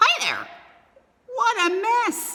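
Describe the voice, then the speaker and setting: In a put-on character voice, a woman sounds squeaky and extremely high-pitched. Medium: read story. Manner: breezy, casual.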